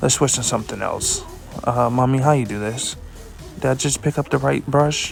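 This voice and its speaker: Over music in the background, a man speaks with a playful tone at a moderate pace. His pitch varies in an ordinary way. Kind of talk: comedic voice-over of a makeup tutorial. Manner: playful, joking.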